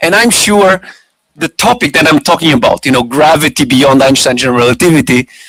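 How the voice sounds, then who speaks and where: A man with an ordinary speaking voice talks at a fairly quick pace with lively intonation and a fairly high pitch. The sound is dry and close, with no echo. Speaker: physics lecturer. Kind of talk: lecture.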